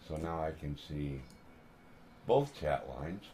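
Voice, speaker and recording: A quiet man speaks at a fairly slow pace with lively intonation. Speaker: RC car hobbyist livestreamer. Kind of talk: casual live stream chat. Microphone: a bit far from the microphone.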